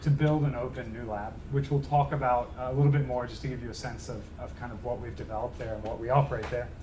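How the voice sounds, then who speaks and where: Somewhat breathy, a man speaks with a fairly high pitch and fairly even intonation amid audible room echo. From Australia, Melbourne. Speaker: tech executive. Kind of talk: lecture. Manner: fast; casual.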